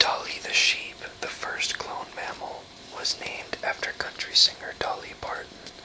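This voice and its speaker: A man whispers over noticeable background noise. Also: moderate pace, big swings in loudness. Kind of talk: book reading, trivia read aloud to camera. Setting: home recording, informal video.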